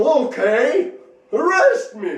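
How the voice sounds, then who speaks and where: In a put-on character voice, a man talks at an extremely high pitch with very wide pitch swings and a slight echo. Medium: solo performance. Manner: gruff, defiant.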